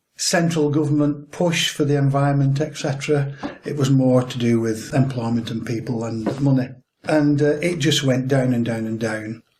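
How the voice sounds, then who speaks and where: A man with a Lancashire accent speaks at a fairly high pitch and a moderate pace, somewhat breathy. His intonation is fairly even, and audible room echo surrounds him. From northern England, Lancashire (Chorley area). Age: 60s. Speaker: angler and conservationist. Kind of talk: interview.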